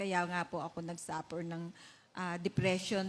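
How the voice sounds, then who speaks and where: A woman's somewhat breathy voice, moving at a moderate pace. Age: 60s. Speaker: church member giving testimony. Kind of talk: testimony. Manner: halting.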